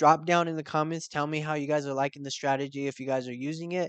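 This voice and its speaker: A man talks at a very fast pace. His pitch is fairly high, and the background is quiet. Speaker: forex trading youtuber. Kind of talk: tutorial. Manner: animated.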